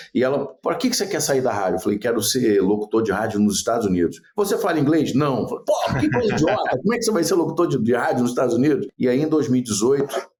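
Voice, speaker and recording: Talking at a very fast pace with hardly any pauses, a man keeps his loudness very even. His pitch is medium, with very wide swings. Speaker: radio executive and former radio host. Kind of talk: podcast interview.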